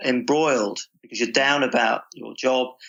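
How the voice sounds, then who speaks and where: The man has an unremarkable speaking voice at a medium pitch. His intonation is fairly even and his pace moderate. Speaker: sports psychologist. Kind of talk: interview answer.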